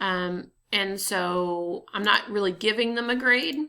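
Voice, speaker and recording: A woman's tone is bright and sharp, her intonation fairly even. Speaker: teacher. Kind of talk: tutorial. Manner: casual, hesitant with fillers.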